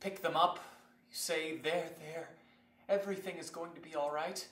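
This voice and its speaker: A man speaks at a moderate pace in a raised, projected voice with a bright, sharp tone. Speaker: student performer. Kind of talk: slam poetry reading. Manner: emotional.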